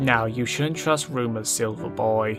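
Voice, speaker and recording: Over clear background music, a man does a put-on character voice. He speaks fairly slowly at a medium pitch. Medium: machinima.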